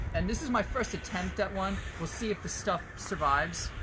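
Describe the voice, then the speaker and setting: A man's high voice at a moderate pace, with noticeable background noise. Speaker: art class instructor. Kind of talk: tutorial. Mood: relaxed, friendly. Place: garden. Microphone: phone near.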